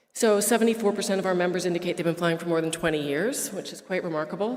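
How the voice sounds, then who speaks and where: Words come at a very fast pace with fairly even intonation. There is noticeable background noise. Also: woman. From Quebec. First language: French. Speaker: association staff, member services manager. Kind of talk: formal presentation at annual meeting.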